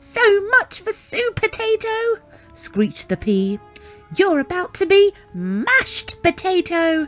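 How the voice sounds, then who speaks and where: An extremely high-pitched put-on character voice speaks at a fairly slow pace over faint background music. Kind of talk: children's read-aloud story. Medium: read story. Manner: screechy, gloating.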